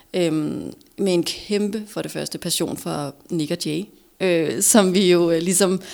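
Her intonation fairly even, a woman speaks at a medium pitch in a plain, everyday voice. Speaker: former TV host, entrepreneur. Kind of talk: casual chat.

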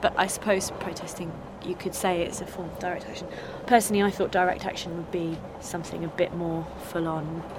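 A woman speaks at a fairly quick pace in a flat monotone, her pitch fairly low. Noticeable background noise runs underneath. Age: 30s. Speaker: activist, music teacher. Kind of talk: casual interview and on-the-spot reporting.

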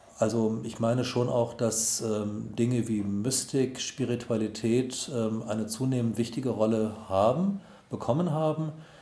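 The speech shows ordinary pitch variation, with room echo clearly audible. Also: man. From Germany (Solingen and Wuppertal, partly Tehran). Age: 50s. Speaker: pastor. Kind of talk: interview. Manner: hesitant with fillers.

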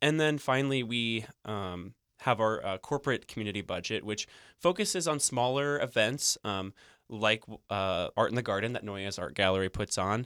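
With a Midwestern accent and a medium pitch, a man speaks with lively intonation. He leaves long, frequent pauses in a very clean recording with a silent background. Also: moderate pace. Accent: general American, Midwestern. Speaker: corporate sponsor representative. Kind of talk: radio interview. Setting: studio. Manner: filler-heavy, friendly.

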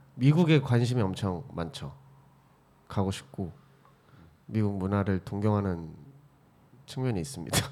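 A soft-spoken man talks at a fairly slow pace with lively intonation. He leaves long, frequent pauses. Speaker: film and video worker. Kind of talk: casual chat. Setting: studio. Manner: halting.

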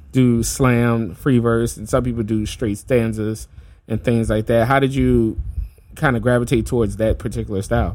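A man's normal speaking voice with an American accent, medium in pitch, moderate in pace, with fairly even intonation. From New Orleans, US South. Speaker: podcast host and hip hop artist. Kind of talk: casual interview chat. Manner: casual, filler-heavy, friendly.

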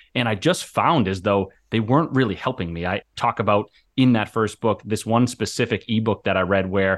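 Against a quiet background, a man with a fairly low pitch and ordinary pitch variation talks at a fairly quick pace in an unremarkable speaking voice. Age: 30s. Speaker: author and mental health coach. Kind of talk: interview.

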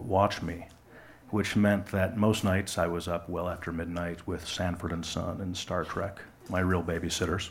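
A man with an American accent talks at a moderate pace, with room echo audible. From West Michigan, US. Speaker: live storyteller. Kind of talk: personal story reading on stage. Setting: stage with audience.

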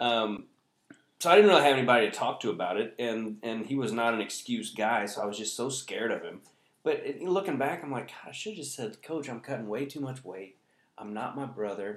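In a plain, everyday voice, a man speaks fairly quickly at medium pitch, with lively intonation and big swings in loudness. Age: 40s. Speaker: comedian. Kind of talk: casual chat. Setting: at home.

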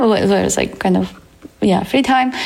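Audible room echo and noticeable background noise surround a woman speaking with a Romanian accent. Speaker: data science teacher and career coach. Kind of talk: interview. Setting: at home.

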